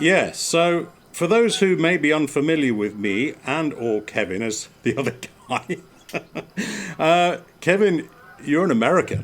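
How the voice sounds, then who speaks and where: Speaking in an English accent, a man with a fairly high pitch moves at a fairly slow pace, with long, frequent pauses and very wide pitch swings. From England. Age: 50s. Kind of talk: casual chat. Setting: outdoors on a porch.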